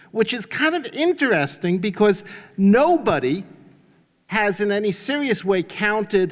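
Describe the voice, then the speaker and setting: Speaking with a New York accent, a man has a high pitch. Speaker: economist. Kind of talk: conference talk.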